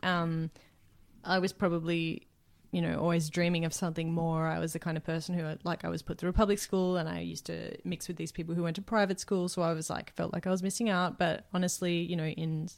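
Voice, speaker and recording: In a very clean recording with a silent background, a woman with an Australian accent speaks very fast in a monotone, flat delivery at a fairly low pitch. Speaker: podcast co-host and music enthusiast. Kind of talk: casual chat.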